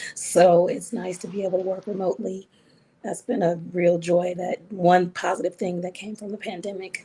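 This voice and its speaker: This voice has a dark, mellow tone, somewhat breathy, delivered in a monotone with flat intonation. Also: woman, medium pitch for a woman, moderate pace. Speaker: psychiatrist. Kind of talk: interview.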